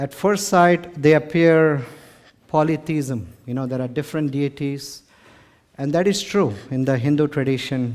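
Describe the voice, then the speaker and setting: Speaking at a fairly slow pace, a man with an Indian accent has a fairly high pitch. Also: ordinary pitch variation. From India, Mumbai. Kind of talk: lecture to live audience. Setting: stage with audience.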